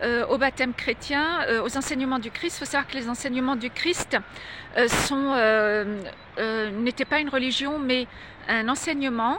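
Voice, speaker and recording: A woman's high-pitched voice, fairly slow, with ordinary pitch variation. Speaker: religious video blogger. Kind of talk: direct-to-camera monologue. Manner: halting, many hesitations.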